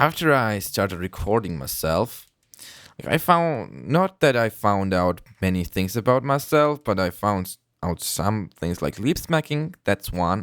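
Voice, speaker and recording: A man with a non-native accent talks at a fairly slow pace, his pitch swinging very widely. The sound is dry and close with no echo, in a very clean recording over a silent background. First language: not English. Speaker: gaming youtuber. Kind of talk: gameplay commentary. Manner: halting. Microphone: close to the mic, loud, breath and lip smacks.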